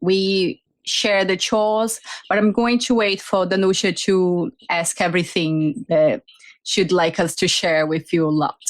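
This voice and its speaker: A woman's medium-pitched voice at a very slow pace, with ordinary pitch variation and very even loudness, on a very clean recording with a silent background. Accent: Portuguese. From Brazil. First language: Portuguese. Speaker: podcaster. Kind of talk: casual chat.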